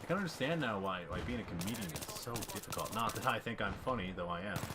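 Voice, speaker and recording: A man talks at a moderate pace with very wide pitch swings, over noticeable background noise and audible room echo. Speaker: gaming commentator. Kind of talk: gameplay commentary.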